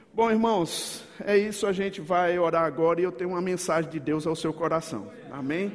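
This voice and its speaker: With noticeable background noise and audible room echo, a man speaks at a high pitch and a moderate pace, with ordinary pitch variation and hardly any pauses. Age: 50s. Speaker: pastor. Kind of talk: sermon. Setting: church. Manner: animated.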